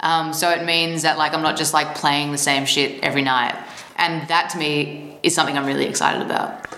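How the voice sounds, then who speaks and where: A woman with an Australian accent speaks at a fairly quick pace in a very deep, low pitch, monotone and flat, her loudness very even, with audible room echo and noticeable background noise. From Australia, Melbourne. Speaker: musician. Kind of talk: interview. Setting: office.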